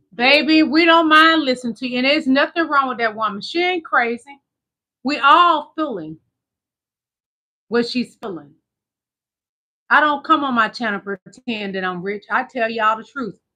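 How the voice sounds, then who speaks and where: A woman speaks in a raised, projected voice at a high pitch and moderate pace, with long, frequent pauses. Her tone is bright, sharp and animated, and her intonation lively. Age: 50s. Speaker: YouTube commentary host. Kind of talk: casual livestream commentary.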